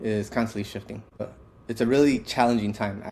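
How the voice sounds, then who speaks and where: A man speaks very fast with a fairly low pitch. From US Midwest, west side of Chicago. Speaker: company co-founder, podcast co-host. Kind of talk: reflective podcast conversation.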